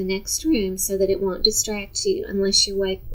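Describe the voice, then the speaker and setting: Noticeable noise fills the background. Over it, a woman talks in an American accent. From Texas, Dallas. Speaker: retired teacher. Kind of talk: instructional talk to parents. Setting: seated on a sofa.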